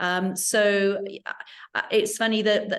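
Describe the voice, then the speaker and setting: Against a quiet background, a woman with an English accent speaks at a medium pitch in a monotone, flat intonation. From England. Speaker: arts center executive director. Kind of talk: interview. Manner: hesitant, many fillers.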